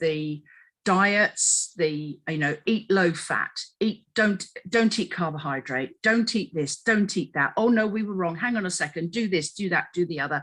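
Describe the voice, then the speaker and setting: Using an English accent, a woman talks at a fairly slow pace and a medium pitch with ordinary pitch variation. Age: 60s. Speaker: dieting expert. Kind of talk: podcast discussion.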